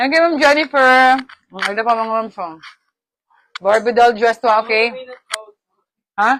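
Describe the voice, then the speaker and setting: A woman's fairly high pitch with ordinary pitch variation, at a moderate pace with long, frequent pauses. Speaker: online live seller. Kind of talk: live selling. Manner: animated.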